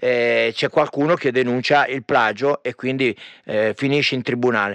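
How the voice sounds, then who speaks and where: A man talks at a moderate pace and medium pitch with a bright, sharp tone. The sound is dry and close with no echo. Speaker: radio host. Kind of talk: radio music show. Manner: animated.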